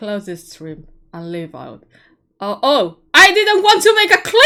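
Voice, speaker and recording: Shouting with very wide pitch swings, a woman speaks with a non-native accent. The recording is very clean, with a silent background. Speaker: streamer. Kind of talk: live game stream chat. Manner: loud, shouting; halting, repetitive.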